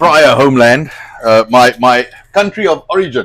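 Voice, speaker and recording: Using lively intonation, a man with a South African accent talks at a moderate pace and a fairly high pitch. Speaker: online show host. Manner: hesitant, many fillers.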